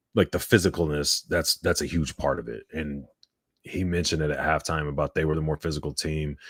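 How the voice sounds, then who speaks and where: A man with a very deep, low pitch and fairly even intonation at a fairly quick pace, dry and close with no echo, on a very clean recording with a silent background. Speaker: sports podcast co-host. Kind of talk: live sports reaction chat. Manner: monotone.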